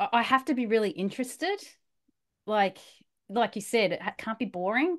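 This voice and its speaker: A woman with an Australian accent and a fairly high pitch speaks at a fairly quick pace with lively intonation against a quiet background. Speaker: bedtime story podcast host. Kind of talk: casual chat.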